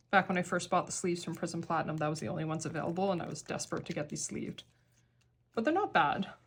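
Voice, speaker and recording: A woman with a fairly low pitch and a somewhat breathy voice speaks at a very fast pace with fairly even intonation, on a very clean recording with a silent background. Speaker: K-pop card collector vlogger. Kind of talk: casual hobby tutorial.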